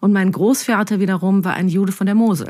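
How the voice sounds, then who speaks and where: On a very clean recording with a silent background, a woman with a dark, mellow tone and medium pitch sounds somewhat breathy at a moderate pace. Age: 30s. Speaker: journalist. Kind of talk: podcast interview.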